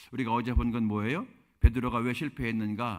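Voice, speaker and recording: At a fairly quick pace, a man speaks with medium pitch and a plain, everyday voice, in a very clean recording with a silent background. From Korea, Chungcheong (Yesan). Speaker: pastor. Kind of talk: sermon.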